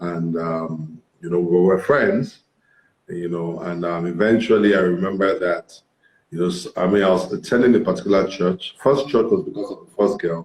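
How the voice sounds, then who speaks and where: A man talks at a moderate pace in a very deep, low voice with ordinary pitch variation. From Nigeria. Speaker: career coach and pastor. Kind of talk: interview storytelling.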